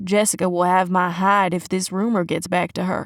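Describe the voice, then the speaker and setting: Putting on a gruff character voice, a woman speaks at medium pitch and a moderate pace with flat, monotone intonation. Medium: read story. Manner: deadpan, gruff.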